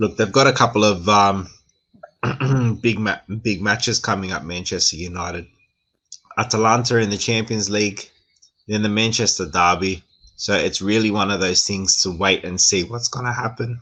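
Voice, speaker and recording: Speaking at a moderate pace with long, frequent pauses, a man with an Australian accent has a fairly low pitch, a bright, sharp tone and fairly even intonation. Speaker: football show co-host. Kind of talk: casual football discussion.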